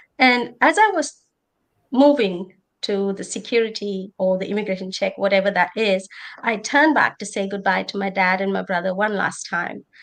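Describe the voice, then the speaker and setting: A woman speaks with an Indian accent at a moderate pace. Her medium pitch shows ordinary pitch variation. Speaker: nurse and conference panelist. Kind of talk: personal testimony on a panel. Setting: conference panel.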